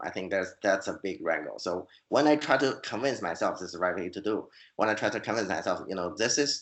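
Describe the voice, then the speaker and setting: A man speaks at a moderate pace with a Chinese accent. His pitch variation is ordinary. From China. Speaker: fantasy author and scientist. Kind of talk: interview. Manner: halting, many repeated words.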